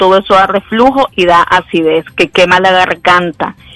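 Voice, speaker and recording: Noticeable background noise sits under a woman speaking at a moderate pace, the sound dry and close with no echo. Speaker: infectious disease doctor. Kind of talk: expert interview.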